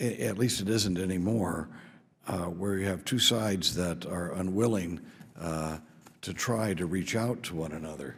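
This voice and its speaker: A man talks in a very deep, low pitch with ordinary pitch variation. Audible room echo surrounds his voice. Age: 60s. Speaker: congressman. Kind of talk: committee hearing statement. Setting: congressional hearing room.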